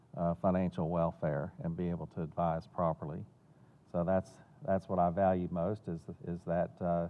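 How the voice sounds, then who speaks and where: The speaker talks at a moderate pace with a Southern US accent. The intonation is fairly even. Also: man. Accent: Southern US accent (self-noted). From Florida and North Carolina. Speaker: financial planner and benefactor. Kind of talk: interview. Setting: theater. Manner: hesitant, many fillers and repeats.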